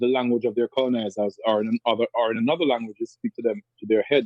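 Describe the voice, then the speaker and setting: A man talks at a fairly quick pace. He has a Jamaican accent. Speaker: radio show host and poet. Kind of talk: interview answer.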